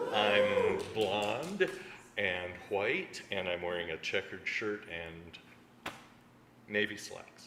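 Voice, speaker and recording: Amid noticeable background noise and audible room echo, a man talks at a very slow pace with long, frequent pauses and big swings in loudness. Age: 60s. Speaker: congregation member. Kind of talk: self-introduction. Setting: church.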